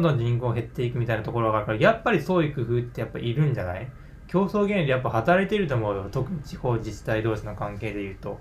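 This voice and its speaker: A man at medium pitch and very fast pace, with very wide pitch swings and audible room echo. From Japan, Yamaguchi Prefecture. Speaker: podcast guest. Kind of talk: casual discussion.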